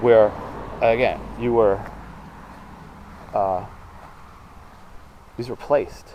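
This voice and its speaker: A man speaks over noticeable background noise. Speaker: paranormal investigator vlogger. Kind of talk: on-location narration. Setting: outdoors. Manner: loud; halting.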